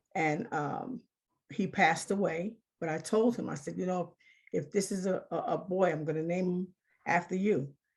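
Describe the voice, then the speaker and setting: At a moderate pace, a woman with a fairly low pitch and a somewhat breathy voice talks with ordinary pitch variation. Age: 60s. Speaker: HIV survivor sharing testimony. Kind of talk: testimony.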